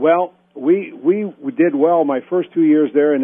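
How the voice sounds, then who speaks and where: A man's normal speaking voice, fairly even in intonation, moves at a moderate pace. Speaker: former college basketball player, retired athlete. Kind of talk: interview answer, recalling his playing days.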